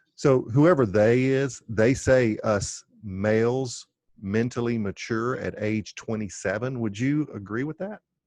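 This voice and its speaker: It is a plain, everyday voice with ordinary pitch variation. The pace is fairly slow. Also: man, medium pitch for a man. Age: 50s. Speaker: podcast host. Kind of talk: casual chat. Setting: podcast interview.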